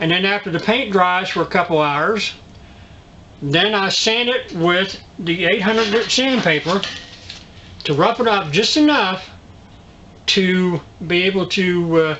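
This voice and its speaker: Against noticeable background noise, the voice moves at a fairly slow pace with ordinary pitch variation. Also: man. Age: 60s. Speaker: DIY video host. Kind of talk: tutorial. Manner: halting, many fillers.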